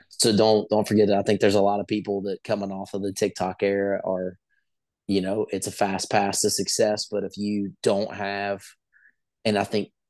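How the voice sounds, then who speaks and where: The voice has a dark, mellow tone and an American accent, delivered at a fairly quick pace in a monotone, flat intonation. The background is quiet. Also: man. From West Virginia. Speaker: country singer. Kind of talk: casual interview chat.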